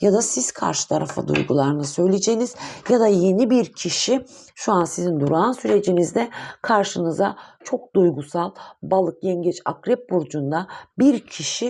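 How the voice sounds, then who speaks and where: A woman speaks at a medium pitch and a moderate pace, her intonation lively. Her tone is dark and mellow, with touches of vocal fry. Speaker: tarot reader. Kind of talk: tarot reading monologue. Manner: hesitant, many fillers.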